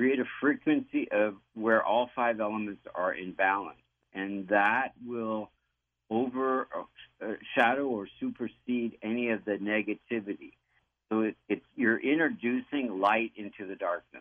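A man with a plain, everyday voice speaks at a fairly slow pace. His medium pitch follows fairly even intonation. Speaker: Vastu practitioner and architect. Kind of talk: radio interview, explanatory talk.

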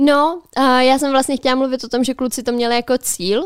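On a very clean recording with a silent background, a woman speaks in a high voice at a fairly slow pace. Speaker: podcast co-host. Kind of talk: casual chat. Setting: studio.

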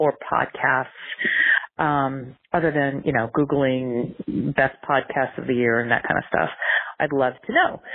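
Noticeable background noise is present. Over it, a woman talks at a fairly slow pace. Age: 50s. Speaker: voicemail caller. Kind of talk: voicemail question.

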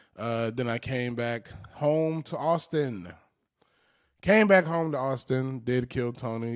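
The voice has an animated tone with ordinary pitch variation and moves at a fairly slow pace. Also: man. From US South, Macon, Georgia. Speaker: stand-up comedian and podcast host. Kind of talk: casual monologue.

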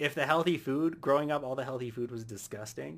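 An unremarkable speaking voice, a man at medium pitch with an American accent talks with ordinary pitch variation on a very clean recording with a silent background. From United States. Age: 30s. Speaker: podcast co-host and content creator. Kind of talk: casual chat.

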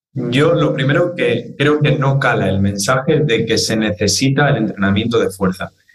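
Somewhat breathy, a man speaks at a medium pitch and moderate pace with lively intonation, very even loudness and hardly any pauses. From Spain (Madrid area), born in Argentina. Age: 20s. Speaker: fitness trainer and content creator. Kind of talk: interview conversation.

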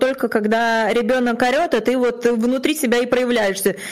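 Speaking at a fairly slow pace, a woman has a high voice. Noticeable background noise can be heard. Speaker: podcast co-host. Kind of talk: casual interview. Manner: emotional, animated.

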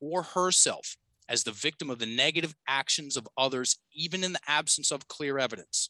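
Speaking with an American accent, a man has a fairly high pitch, a bright, sharp tone, and ordinary pitch variation at a moderate pace. The sound is dry and close with no echo, over a quiet background. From Virginia, US. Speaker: coach and speaker. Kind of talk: casual interview chat.

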